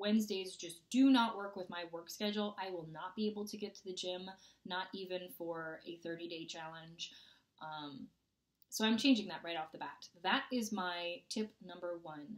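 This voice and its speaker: A woman speaks at a moderate pace with ordinary pitch variation. Her loudness swings widely against a quiet background. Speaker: fitness vlogger. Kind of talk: casual vlog chat. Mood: upbeat, playful. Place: home room. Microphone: webcam.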